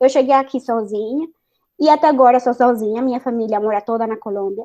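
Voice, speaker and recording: At a fairly quick pace, a woman talks with a high pitch, a dark, mellow tone and fairly even intonation. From Colombia, Bogotá. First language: Spanish (speaking Portuguese). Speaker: chemical engineer and science communicator. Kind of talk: panel discussion.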